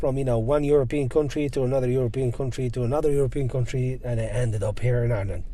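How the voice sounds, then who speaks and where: A man talks while noticeable noise is heard behind him. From Algeria. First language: Berber. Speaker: guest sharing immigrant career story. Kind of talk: casual interview chat. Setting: car park in Dublin.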